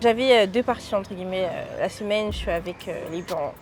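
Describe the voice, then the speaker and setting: Very fast and fairly high-pitched, a woman speaks with ordinary pitch variation amid noticeable background noise. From France (Vendée). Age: young. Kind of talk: interview answer. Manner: casual.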